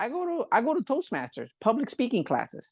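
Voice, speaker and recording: An animated man with a Spanish accent against a quiet background. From Puerto Rico. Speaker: barber and scalp pigmentation artist. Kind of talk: casual interview chat. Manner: halting, many fillers.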